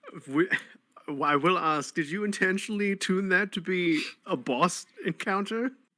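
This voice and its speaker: A man's raised, projected voice with an American accent, high in pitch and bright, sharp in tone, with ordinary pitch variation at a moderate pace. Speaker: tabletop role-playing game player. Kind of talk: casual chat.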